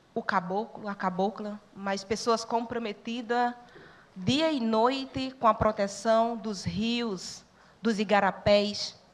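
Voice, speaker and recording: Her intonation fairly even, a woman with a fairly high voice talks at a very slow pace. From Brazil, sertão of Pernambuco (Northeast). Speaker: social worker and church network educator. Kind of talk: talk to students.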